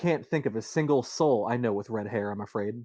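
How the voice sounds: A natural reading voice is what this clip has.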